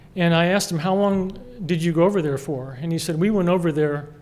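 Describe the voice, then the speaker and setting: This man speaks with an American accent and high pitch. Audible room echo surrounds his voice. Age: 60s. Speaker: award honoree, cybersecurity expert. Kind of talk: award acceptance speech. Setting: gala dinner with audience.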